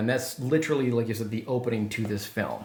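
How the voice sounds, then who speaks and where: A man with a Wisconsin accent at a fairly quick pace, with noticeable background noise and audible room echo. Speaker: podcast host. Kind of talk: casual chat.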